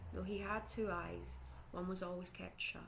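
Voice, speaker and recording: A soft-spoken woman with a Scottish accent talks in a calm tone. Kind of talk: ASMR story reading. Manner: calm, soft.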